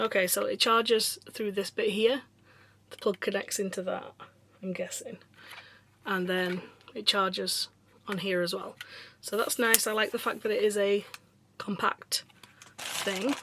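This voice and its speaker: In a Yorkshire accent, the voice has a relaxed yet bright, sharp tone, moving at a fairly slow pace with long, frequent pauses and fairly even intonation. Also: woman, medium pitch for a woman. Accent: British, Yorkshire. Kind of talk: casual unboxing talk to camera. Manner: chatty, relaxed.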